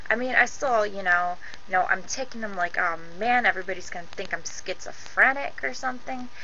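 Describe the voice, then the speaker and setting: Over noticeable background noise, a woman with a medium pitch talks at a fairly quick pace with fairly even intonation. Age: young. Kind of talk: personal story to camera.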